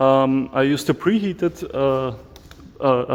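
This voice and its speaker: With an Austrian accent, a man talks at a fairly high pitch with ordinary pitch variation. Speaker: knife maker. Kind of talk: casual talk to camera, workshop tour. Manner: hesitant, many fillers. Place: workshop. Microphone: phone near.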